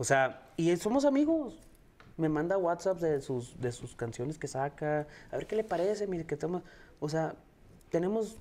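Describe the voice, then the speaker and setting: A man's high, dark and mellow voice, fairly slow with long, frequent pauses and lively intonation. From El Paso, Texas; Texas. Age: 30s. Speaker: singer-songwriter; guest. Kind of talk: interview. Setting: live stream. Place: studio.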